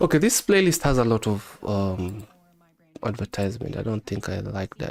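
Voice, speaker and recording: A man with a strong Kenyan accent talks at a moderate pace in a relaxed tone, fairly low-pitched with ordinary pitch variation. The sound is dry and close, with no echo. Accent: heavy Kenyan. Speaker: live-streaming futures trader. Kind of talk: casual live-stream chat. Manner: relaxed, conversational.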